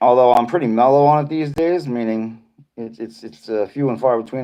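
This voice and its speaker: A man with a Boston accent at medium pitch and moderate pace, with ordinary pitch variation. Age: 50s. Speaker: live streamer. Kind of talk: casual chat. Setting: livestream reading chat.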